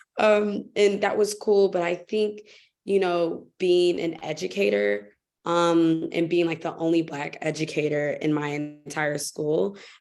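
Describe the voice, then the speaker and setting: A woman's very deep, low voice at a fairly slow pace, with ordinary pitch variation and music in the background. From United States. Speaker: teacher abroad, panelist. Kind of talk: panel discussion.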